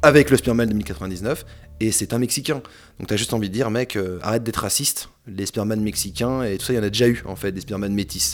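Delivered at a very fast pace with ordinary pitch variation, the voice sits on a very clean recording with a silent background. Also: man, fairly low pitch for a man. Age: 30s. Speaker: film critic. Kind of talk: casual chat.

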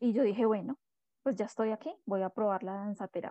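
A woman with a dark, mellow tone speaks at medium pitch with ordinary pitch variation, recorded in a dry, close sound with no echo. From Colombia, Bogotá. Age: 40s. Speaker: dance therapist and astrologer. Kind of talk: interview.

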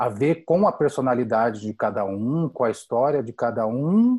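The man's voice sits at medium pitch with a dark, mellow tone. His intonation is lively. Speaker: podcast co-host. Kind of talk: casual interview.

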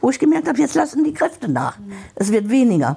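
Amid noticeable background noise, a woman talks at a very fast pace with very wide pitch swings. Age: 70s. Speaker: hospice patient. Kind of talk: interview.

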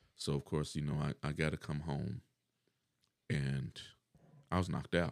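With vocal fry and a very deep, low pitch, a man speaks at a moderate pace in fairly even intonation, the sound dry and close with no echo. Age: 40s. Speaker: dialysis patient and shift worker. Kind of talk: casual chat.

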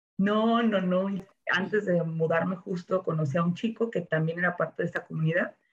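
Somewhat breathy speech at a moderate pace, with very even loudness and fairly even intonation. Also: woman, medium pitch for a woman. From Mexico, Jalisco (Ocotlán). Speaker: former flight attendant. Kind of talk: interview, casual chat.

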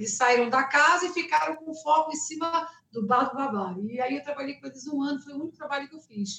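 A woman's raised, projected voice, high-pitched with ordinary pitch variation, at a fairly quick pace with hardly any pauses. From Rio de Janeiro, Brazil. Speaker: singer. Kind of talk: interview. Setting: live stream.

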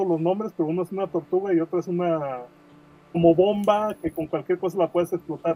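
A man's high-pitched voice, very fast and monotone with flat intonation. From Mexico, Guadalajara, Jalisco. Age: 40s. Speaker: comic creator and graphic designer. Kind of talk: podcast interview.

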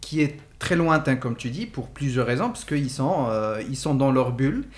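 A man speaks at a moderate pace with lively intonation. His voice is fairly high and somewhat breathy. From Morocco. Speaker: podcast host. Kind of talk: casual discussion. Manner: halting.

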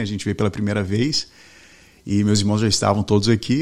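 This man's voice sits fairly low in pitch. His intonation is fairly even. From Brazil, Belo Horizonte (Minas Gerais), then Boston from age 13. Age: 40s. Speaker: mortgage team leader. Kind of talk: interview conversation. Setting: studio.

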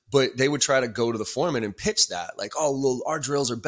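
An unremarkable speaking voice from a man, moving at a fairly quick pace. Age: 40s. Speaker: sales trainer and author. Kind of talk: casual interview.

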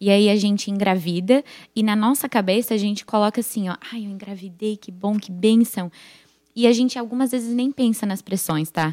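Her pitch sits at a medium level, and her tone is dark and mellow. The woman talks at a moderate pace with ordinary pitch variation. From United States (Brazilian family). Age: 20s. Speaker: church member, young mother. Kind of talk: casual chat.

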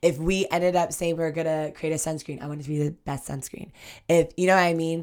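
A woman's very fast, monotone, flat delivery. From Ohio, US Midwest (born in Ghana). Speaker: entrepreneur, skincare company founder. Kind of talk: casual interview. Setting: office.

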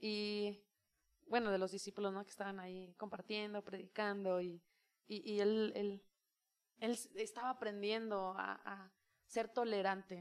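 The delivery is fairly slow and monotone, with flat intonation but big swings in loudness. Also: woman, medium pitch for a woman. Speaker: youth leader and preacher. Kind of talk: casual chat. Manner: intense when preaching.

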